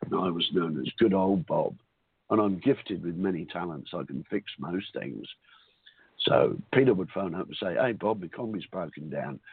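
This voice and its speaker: A man with an Australian accent, very deep, low pitch, lively intonation and a moderate pace. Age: 60s. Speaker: call-in listener. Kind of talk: personal testimony. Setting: phone call.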